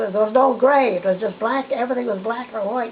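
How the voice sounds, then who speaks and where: A woman with a fairly high pitch and ordinary pitch variation, amid noticeable background noise. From New Brunswick, Canada. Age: 80s+. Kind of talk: interview answer. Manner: hesitant, reminiscing.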